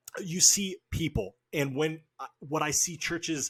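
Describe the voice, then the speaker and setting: This is a normal speaking voice with an American accent. The sound is dry and close, with no echo. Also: man. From Oregon, US Pacific Northwest. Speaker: podcast host. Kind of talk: casual interview chat.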